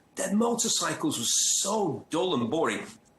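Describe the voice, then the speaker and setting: A man's voice at a moderate pace with very wide pitch swings, audible room echo and noticeable background noise. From northern England, North Manchester. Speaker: motoring journalist and TV presenter. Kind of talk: interview. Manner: animated storytelling.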